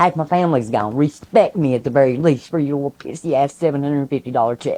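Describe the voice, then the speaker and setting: Someone with a Southern Appalachian accent talks at a fairly quick pace. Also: woman. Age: 60s. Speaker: hurricane survivor. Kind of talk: interview testimony. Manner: animated.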